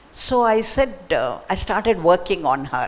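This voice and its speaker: Very wide pitch swings from a woman at a fairly slow pace, over noticeable background noise. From Mysore, southern India. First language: Marathi. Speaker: author. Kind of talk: book talk conversation. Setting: library event with audience.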